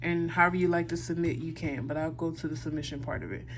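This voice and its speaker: A woman speaks at a fairly quick pace, her pitch fairly low and her voice showing vocal fry. Her pitch varies in an ordinary way, and audible room echo surrounds her. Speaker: instructor. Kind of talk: tutorial. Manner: fast; casual.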